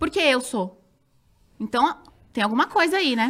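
A woman talks at a fairly quick pace in a high pitch. Her tone is bright and sharp. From São Roque, interior of São Paulo state, Brazil. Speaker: former TV dancer and reality show contestant. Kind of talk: casual interview chat.

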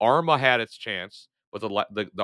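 Recorded very cleanly against a silent background with a dry, close sound and no echo, a man speaks in a bright, sharp tone with ordinary pitch variation. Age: 30s. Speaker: gaming podcast host. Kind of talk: casual chat. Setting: home recording in basement.

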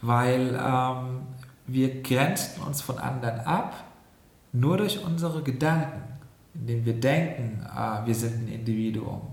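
A man talks very slowly, his voice echoing audibly in the room amid noticeable background noise. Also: medium pitch for a man, ordinary pitch variation. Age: 40s. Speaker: health scientist and yoga teacher. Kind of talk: interview. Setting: in person, seated next to host.

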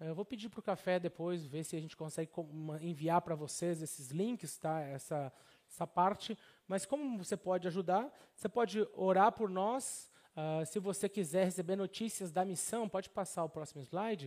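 Speaking at a moderate pace with a Brazilian accent, a man uses a high pitch and ordinary pitch variation. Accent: Brazilian, noticed abroad. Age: 30s. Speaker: pastor and missionary. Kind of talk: sermon.

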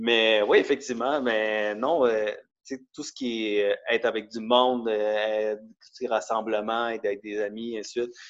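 A man talks at a fairly slow pace and a medium pitch. His intonation is flat and monotone. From Quebec, Montreal and Laval. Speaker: CrossFit athlete, office worker. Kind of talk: casual interview.

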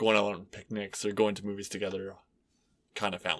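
Speech comes at a fairly quick pace. Its intonation stays flat and monotone. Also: man. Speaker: podcast guest. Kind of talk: casual chat.

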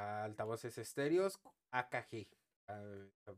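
A man with a Mexican accent. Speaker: tech podcast host. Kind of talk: casual chat.

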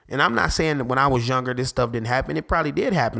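On a very clean recording with a silent background, a man speaks in an animated tone with vocal fry. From Detroit, US Midwest. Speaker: podcast host. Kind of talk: casual talk show monologue.

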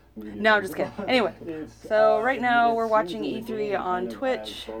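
A woman talks at a fairly slow pace with very wide pitch swings. Audible room echo and noticeable background noise surround her. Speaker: podcast co-host. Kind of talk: casual chat.

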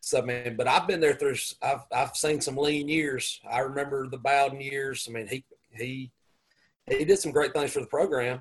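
Speaking with a Southern US accent, a man uses a fairly high, somewhat breathy voice with fairly even intonation. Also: moderate pace. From US South, upstate South Carolina. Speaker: high school football coach. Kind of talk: casual chat.

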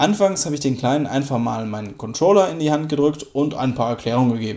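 A man talks at a fairly quick pace. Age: 30s. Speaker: podcaster and gaming dad. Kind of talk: casual monologue. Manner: hesitant with fillers.

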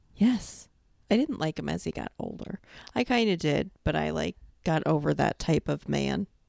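A woman with an American accent at a moderate pace, her sound dry and close with no echo. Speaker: podcast co-host. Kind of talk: casual chat. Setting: home recording with headset.

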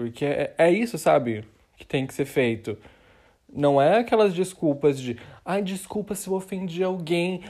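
The voice has a dark, mellow tone and moves at a fairly slow pace in a very clean recording with a silent background. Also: man, high pitch for a man. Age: 20s. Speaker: podcaster. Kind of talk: casual monologue. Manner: rambling, halting with repetitions.

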